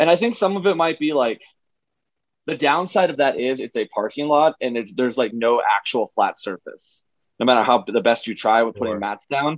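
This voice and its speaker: A man with a plain, everyday voice speaks at a moderate pace and a fairly high pitch, his intonation lively. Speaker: strongman athlete. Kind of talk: casual interview.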